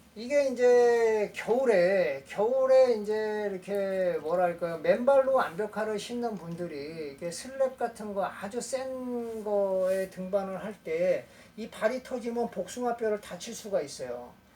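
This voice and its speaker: Hardly any pauses break up this very slow delivery. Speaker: rock climbing instructor. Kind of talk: tutorial.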